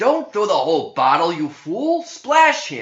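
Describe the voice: Loud and fairly slow, a man performs a put-on character voice with a fairly high pitch, a fairly bright tone and very wide pitch swings, with audible room echo around him.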